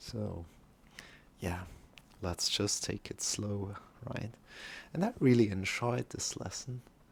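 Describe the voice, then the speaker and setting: Somewhat breathy and fairly low-pitched, a man speaks at a very slow pace with ordinary pitch variation and long, frequent pauses. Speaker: yoga teacher. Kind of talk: casual chat to live class viewers. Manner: slow, holding back.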